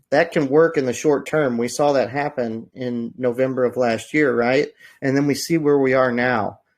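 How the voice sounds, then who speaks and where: This man has a plain, everyday voice at a medium pitch, with fairly even intonation. He speaks at a moderate pace against a quiet background. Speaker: crypto project team member. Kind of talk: AMA interview.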